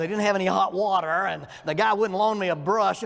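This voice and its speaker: A man with a Southern US accent, ordinary pitch variation, and noticeable background noise. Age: 60s. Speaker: minister and psychology counselor teaching a class. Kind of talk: lecture. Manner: conversational, humorous.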